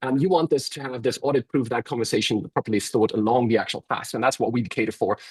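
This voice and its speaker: The man's lively intonation comes through a dry, close sound with no echo. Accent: German. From Germany. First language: German. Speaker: software company representative. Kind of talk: webinar presentation. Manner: halting, many fillers.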